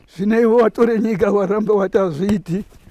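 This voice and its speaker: A man speaks at a high pitch with fairly even intonation. The sound is dry and close, with no echo. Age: 80s+. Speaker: war veteran. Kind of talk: testimony.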